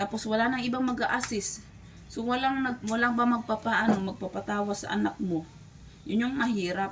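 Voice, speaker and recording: With noticeable background noise behind her, a woman talks at a moderate pace and shows ordinary pitch variation. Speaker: vlogger. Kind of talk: casual vlog chat.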